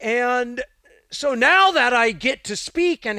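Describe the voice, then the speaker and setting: In an American accent, a man uses a raised, projected voice at an extremely high pitch with very wide pitch swings, the sound dry and close with no echo. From Northern California, Santa Cruz. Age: 50s. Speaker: martial arts coach. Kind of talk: interview conversation. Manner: halting, repeats sounds.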